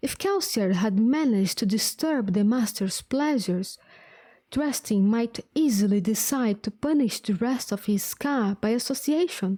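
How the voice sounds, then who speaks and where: A woman with a non-native accent speaks at a fairly slow pace and a fairly high pitch, with lively intonation and very even loudness. Her tone is dark, mellow and somewhat breathy, in a very clean recording with a silent background. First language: not English. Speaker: vtuber streamer. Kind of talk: reading aloud.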